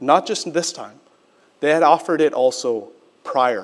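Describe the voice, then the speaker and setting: Pitch shifts in an ordinary way while the speaker goes along fairly slowly. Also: man. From Quebec, Canada (Sri Lankan family). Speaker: pastor. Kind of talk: sermon. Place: church. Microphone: podium.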